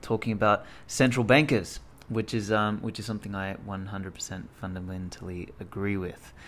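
A man uses a normal speaking voice, pitched fairly low, and his intonation stays fairly even. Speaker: podcast host. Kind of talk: spoken podcast intro.

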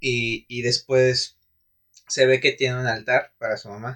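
Talking at a moderate pace, a man with a Mexican accent uses a medium pitch. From Mexico. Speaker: podcast co-host. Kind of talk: casual chat.

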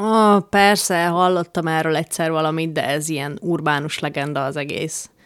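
A woman's fairly low voice, an ordinary speaking voice, at a moderate pace with ordinary pitch variation, hardly any pauses, and a very clean recording over a silent background. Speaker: podcast co-host. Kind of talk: casual chat. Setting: living room.

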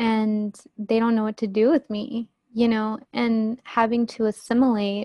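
A woman with an American accent speaks fairly slowly at a fairly high pitch. Her intonation is fairly even, and the sound is dry and close with no echo. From United States. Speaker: podcast guest, Bible college graduate. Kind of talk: personal testimony in interview.

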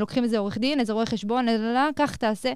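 This woman speaks at a fairly high pitch. Her intonation stays fairly even. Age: 20s. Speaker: entrepreneur and company CEO. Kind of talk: interview. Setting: studio at a college.

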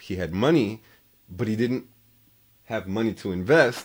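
On a very clean recording with a silent background, a man with an unremarkable speaking voice speaks at a moderate pace with ordinary pitch variation. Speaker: podcast co-host. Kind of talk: casual chat.

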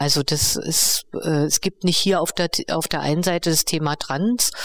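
A woman with a normal speaking voice talks at a moderate pace, her pitch fairly low. Her intonation is fairly even, and the sound is dry and close with no echo. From East Berlin, Germany. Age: 50s. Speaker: co-founder and director of a feminist project. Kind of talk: interview conversation. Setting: on location at the project.

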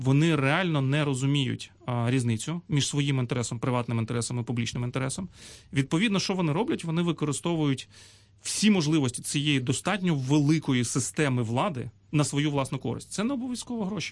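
Against a quiet background, a man with a normal speaking voice talks at a fairly quick pace and fairly high pitch, with lively intonation. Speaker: government agency head. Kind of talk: radio interview.

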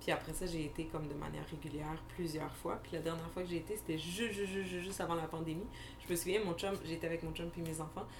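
A woman with a fairly low voice talks very fast with fairly even intonation, over noticeable background noise and audible room echo. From Montreal, Quebec (Anjou). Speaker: podcast co-host, criminologist. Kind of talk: casual chat.

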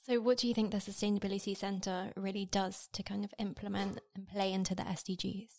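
With a British accent, a woman rushes along at a very fast pace and a medium pitch, with hardly any pauses and monotone, flat intonation. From Britain. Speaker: podcast producer, intern. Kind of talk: casual panel discussion.

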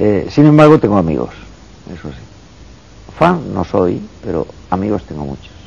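A man with a very deep, low pitch speaks at a moderate pace, his pitch swinging very widely and his loudness shifting greatly. Long, frequent pauses break up the speech over noticeable background noise. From Andalusia, Spain (Cazorla, Jaén). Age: 50s. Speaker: psychiatrist and professor. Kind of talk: interview.

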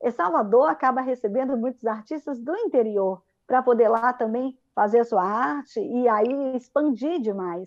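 Lively intonation marks this woman's high-pitched voice. She speaks at a fairly slow pace. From Espírito Santo, Brazil. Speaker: children's theatre artist. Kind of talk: casual chat.

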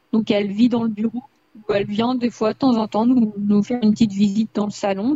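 Somewhat breathy, a woman speaks in a fairly high pitch with fairly even intonation. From France, Indre-et-Loire. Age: 20s. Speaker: rabbit owner. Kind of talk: interview.

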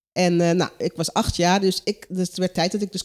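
A woman speaks with a dark, mellow tone. Her pitch sits in the medium range. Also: very clean recording, silent background. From Curaçao. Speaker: coach and care worker. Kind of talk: casual interview. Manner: halting.

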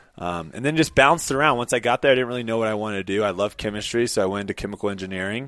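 A man with an American accent talks at a very fast pace with hardly any pauses. His pitch is fairly low, with ordinary pitch variation. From US South, Jacksonville, Florida. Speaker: professional ultimate frisbee player. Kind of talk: casual interview chat.

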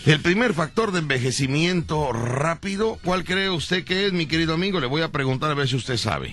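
With hardly any pauses, a man with a fairly high voice talks at a fairly quick pace in an animated tone and lively intonation, over noticeable background noise. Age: 40s. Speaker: radio host. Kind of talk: comedy radio show.

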